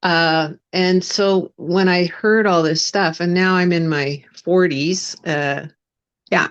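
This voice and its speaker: A woman's fairly low voice in a Western Canadian accent, with fairly even intonation. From Canada, West Vancouver. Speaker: spiritual coach and minister. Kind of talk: interview testimony. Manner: halting, many fillers.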